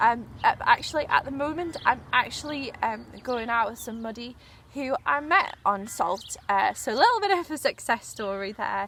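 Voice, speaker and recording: A high-pitched woman's voice at a moderate pace, with very wide pitch swings, big shifts in loudness and noticeable background noise. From northern England, Newcastle. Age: 20s. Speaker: journalist. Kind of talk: audition video monologue. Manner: hesitant, many fillers.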